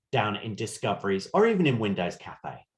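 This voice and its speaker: The man's voice comes across somewhat breathy. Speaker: cruise line sales representative. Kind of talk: virtual sales presentation. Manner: fast.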